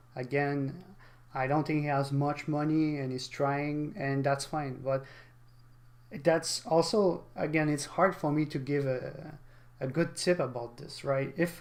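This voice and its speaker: A man's fairly high voice with a non-native accent, fairly even intonation and a fairly slow pace. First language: not English. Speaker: gaming streamer. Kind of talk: live stream reaction commentary. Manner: halting.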